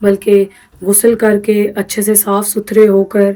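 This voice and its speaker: Monotone, flat intonation in a woman's dark, mellow tone. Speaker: vlogger. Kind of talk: casual vlog narration.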